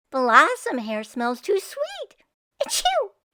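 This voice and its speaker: A woman's squeaky put-on character voice, extremely high in pitch, with very wide pitch swings and a very slow pace. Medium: read story.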